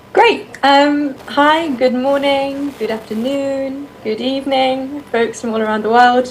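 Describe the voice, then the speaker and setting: In a British accent, a woman speaks at a very slow pace with ordinary pitch variation. The room echo is audible and background noise is noticeable. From United Kingdom. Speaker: bat researcher. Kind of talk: presentation. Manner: hesitant, many fillers.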